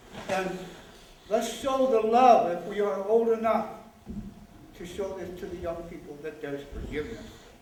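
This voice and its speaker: A man with a high-pitched voice talks at a moderate pace, with ordinary pitch variation, big swings in loudness and long, frequent pauses, over noticeable background noise and audible room echo. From Flathead Reservation, Montana (Salish). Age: 60s. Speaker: Vietnam-era veteran, audience speaker. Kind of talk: public remarks at panel. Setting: theatre with audience.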